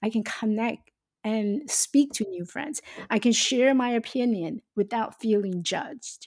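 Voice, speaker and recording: A woman's fairly high voice in a Taiwanese accent, fairly slow, with ordinary pitch variation and a dry, close sound free of echo. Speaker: life coach and speaker. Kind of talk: interview.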